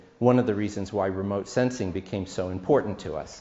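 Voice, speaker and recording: The room echo is audible and the background noise noticeable. A man speaks at a fairly low pitch. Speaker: professor. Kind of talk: conference talk. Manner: halting.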